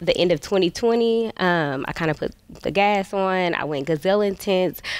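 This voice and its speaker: Recorded dry with no echo over a quiet background, a woman speaks with an American accent and ordinary pitch variation. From US Midwest. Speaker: nurse practitioner. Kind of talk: casual chat. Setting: studio. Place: studio. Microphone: headset.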